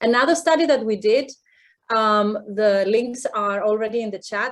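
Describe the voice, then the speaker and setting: The speaker has a non-native accent, keeps a moderate pace, and uses ordinary pitch variation. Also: woman. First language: not English. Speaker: professor. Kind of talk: panel discussion. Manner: hesitant, many fillers.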